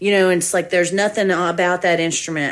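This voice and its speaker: With a strong Southern accent, a woman talks at a fairly low pitch with ordinary pitch variation over noticeable background noise. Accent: thick Southern. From US South, Georgia. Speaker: musician and music teacher. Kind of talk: casual interview.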